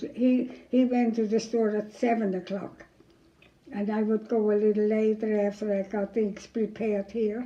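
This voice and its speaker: With noticeable background noise, a woman speaks at a moderate pace and fairly high pitch in a monotone, flat way. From Germany. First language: German. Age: 80s+. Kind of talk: interview answer.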